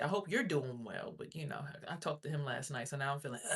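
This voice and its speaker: In an animated tone, a woman speaks with a somewhat breathy voice and ordinary pitch variation. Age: 30s. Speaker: livestreamer. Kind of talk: casual chat. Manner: fast.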